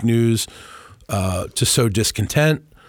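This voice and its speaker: A man with an ordinary speaking voice and medium pitch talks at a fairly slow pace on a very clean recording with a silent background. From Washington DC area. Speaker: communications executive. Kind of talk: interview. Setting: studio.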